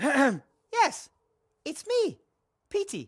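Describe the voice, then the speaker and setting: This put-on character voice is high in pitch. It swings very widely up and down. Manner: funny put-on voice.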